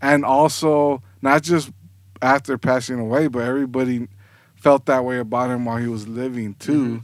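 In a very clean recording with a silent background, a man with a plain, everyday voice talks at a moderate pace and medium pitch, his intonation fairly even. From Southgate, Los Angeles area, California. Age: 30s. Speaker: graphic designer and creative business owner. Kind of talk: podcast interview.

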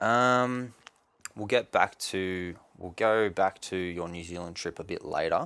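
On a very clean recording with a silent background, a man with an Australian accent speaks fairly slowly in a fairly low voice, with ordinary pitch variation, big swings in loudness and long, frequent pauses. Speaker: podcast host. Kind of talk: casual interview.

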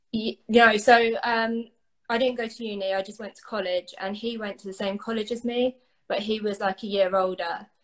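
In an English accent, a woman with a fairly high pitch speaks at a moderate pace with monotone, flat intonation. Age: 20s. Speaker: guest sharing recovery story. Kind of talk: interview.

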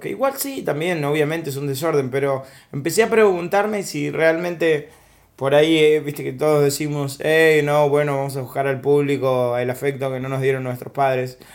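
A man with an unremarkable speaking voice talks at a fairly slow pace. His pitch is fairly high. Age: 30s. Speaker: stand-up comedian. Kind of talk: casual chat.

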